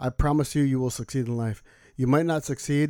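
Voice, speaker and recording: Fairly high in pitch, this man's voice has a dark, mellow tone and fairly even intonation, moving at a very fast pace on a very clean recording with a silent background. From Mexican-American background. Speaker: podcast guest. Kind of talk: casual chat.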